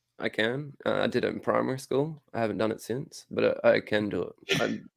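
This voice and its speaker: A man with an Australian accent, talking at a fairly quick pace. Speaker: comic book podcast co-host. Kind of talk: casual chat.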